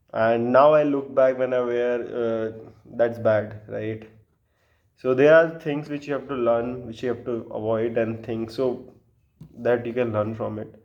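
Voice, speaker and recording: A man at a fairly slow pace, fairly even intonation, audible room echo. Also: medium pitch for a man. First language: not English. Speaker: vlogger giving dating and social advice. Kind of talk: casual monologue to camera. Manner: hesitant, many filler sounds.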